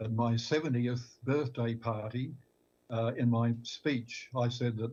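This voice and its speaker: With an Australian accent, a man speaks in a dark, mellow tone that is somewhat breathy and monotone, with flat intonation. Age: 80s+. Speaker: retired pastor. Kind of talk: panel discussion. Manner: halting, repeats words.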